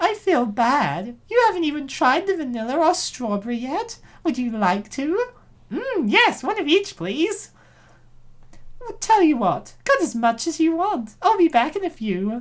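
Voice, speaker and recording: A squeaky, high-pitched put-on character voice with very wide pitch swings at a moderate pace. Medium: fan dub. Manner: sugary, faux-friendly.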